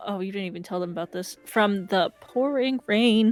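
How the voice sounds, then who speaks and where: A woman at a fairly high pitch and moderate pace, with music in the background. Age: 20s. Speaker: streamer. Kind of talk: casual chat. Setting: live stream. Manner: halting.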